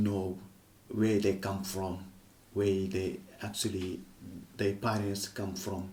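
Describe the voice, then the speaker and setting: A man's fairly low, somewhat breathy voice has a dark, mellow tone and monotone, flat intonation, with audible room echo around it. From Senegal, Casamance. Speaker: kora player and griot musician. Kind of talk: interview. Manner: hesitant, non-native phrasing.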